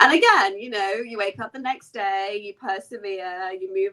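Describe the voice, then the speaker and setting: In an English accent, a woman of medium pitch talks at a moderate pace. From English Midlands. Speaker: lawyer. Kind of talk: interview. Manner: casual, many fillers.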